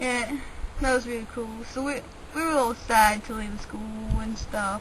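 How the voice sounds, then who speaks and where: A woman with a fairly high pitch and ordinary pitch variation is heard with audible room echo and noticeable background noise. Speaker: vlogger. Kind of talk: casual chat. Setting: outdoors. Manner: rambling casual with fillers.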